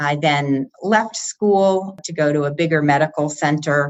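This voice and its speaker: At a fairly slow pace, a woman talks with a very deep, low pitch and ordinary pitch variation. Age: 60s. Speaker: cancer survivor. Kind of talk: interview.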